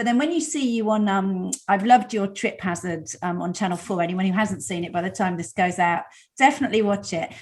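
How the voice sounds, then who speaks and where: Somewhat breathy, a woman speaks at a fairly quick pace. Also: medium pitch for a woman, lively intonation, very clean recording, silent background. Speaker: podcast host. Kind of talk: interview. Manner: fast.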